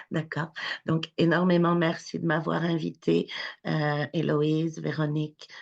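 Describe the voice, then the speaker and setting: A woman at a very slow pace, with very even loudness, against a quiet background. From France. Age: 40s. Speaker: charity founder. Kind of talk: webinar talk, personal testimony. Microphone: connection problems.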